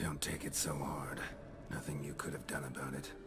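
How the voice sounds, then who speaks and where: A man whispering in a put-on character voice at a moderate pace, over loud music in the background. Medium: short film. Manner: terse, dry.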